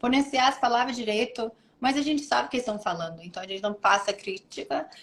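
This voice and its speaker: A woman speaks at a very fast pace in a high voice. Her intonation is lively. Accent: American. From United States. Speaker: model. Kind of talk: interview. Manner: halting.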